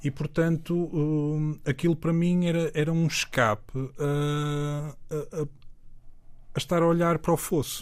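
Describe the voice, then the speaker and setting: A man talks at a very slow pace with hardly any pauses, his fairly high pitch held in fairly even intonation. The recording is very clean, with a silent background. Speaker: music producer and DJ. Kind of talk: casual interview chat. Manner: halting, repeats words.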